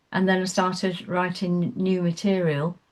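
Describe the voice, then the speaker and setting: A woman with an English accent, fairly low in pitch and fairly slow in pace, on a very clean recording with a silent background. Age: 70s. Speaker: singer-songwriter. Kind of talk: radio interview. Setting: studio. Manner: halting.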